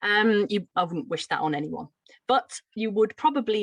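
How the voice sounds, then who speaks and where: A woman with a slight Brummie accent, medium-pitched, lively in intonation, at a moderate pace, in a dry, close sound with no echo. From Birmingham, England. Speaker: teacher trainer. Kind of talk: lecture.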